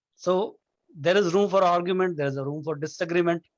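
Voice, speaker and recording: A man with a strong Indian accent and a high pitch speaks at a fairly quick pace with fairly even intonation. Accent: thick Indian. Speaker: nonduality discussion guest. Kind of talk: casual philosophical discussion. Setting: video call. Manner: halting, many restarts.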